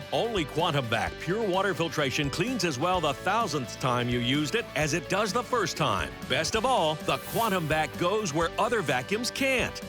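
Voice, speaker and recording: Over music in the background, a high-pitched man swings very widely in pitch at a moderate pace, with very even loudness and hardly any pauses. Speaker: announcer. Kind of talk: TV infomercial voice-over. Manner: emphatic, salesy.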